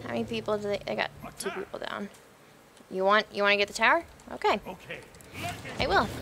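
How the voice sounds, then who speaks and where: A woman speaks in a playful tone at a fairly quick pace. Her speech has long, frequent pauses, with noticeable background noise behind it. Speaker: gaming YouTuber. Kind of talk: live gaming commentary. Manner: casual, chatty, playful banter with the game.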